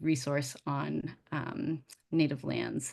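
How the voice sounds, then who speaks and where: The speaker talks with an American accent and vocal fry. The intonation stays fairly even. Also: woman. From Massachusetts. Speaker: museum director. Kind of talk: presentation.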